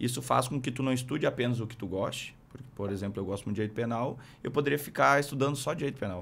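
Here a man is speaking. His intonation is lively. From Rio Grande do Sul interior, Brazil. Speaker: military police captain; podcast guest. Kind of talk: interview. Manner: halting, many fillers. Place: studio. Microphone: studio mic.

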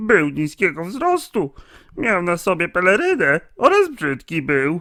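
In a put-on character voice pitched high, a man talks at a moderate pace on a very clean recording with a silent background. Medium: machinima. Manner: excited, breathless.

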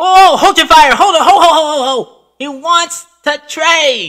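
A high-pitched, put-on character voice at a fairly slow pace.

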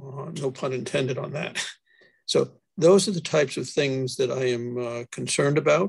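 A man talks at a moderate pace against a quiet background, his voice somewhat breathy. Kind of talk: meeting discussion. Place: home room. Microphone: video call.

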